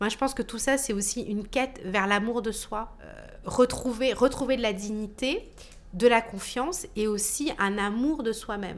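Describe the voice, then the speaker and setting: Her voice is fairly high, with ordinary pitch variation. The woman talks at a fairly slow pace, her loudness swinging widely. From Martinique. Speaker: dancer and choreographer. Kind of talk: interview. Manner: halting.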